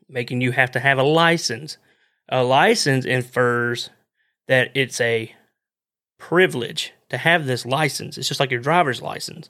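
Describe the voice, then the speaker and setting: In a very clean recording with a silent background, a man with a Southern US accent speaks at a fairly slow pace, with a medium pitch, ordinary pitch variation and a bright, sharp tone. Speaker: outdoors podcast host. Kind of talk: casual monologue. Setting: live stream.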